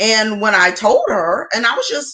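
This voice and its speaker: Loud and animated, a woman with an American accent talks at a fairly slow pace in a fairly high, bright, sharp voice. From US South. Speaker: accountant and tax preparer. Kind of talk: livestream talk to viewers.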